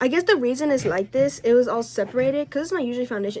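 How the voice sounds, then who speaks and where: Over noticeable background noise, a woman talks very fast at a high pitch with lively intonation. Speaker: lifestyle vlogger. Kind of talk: casual chat. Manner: loud; casual, rambling speech with fillers.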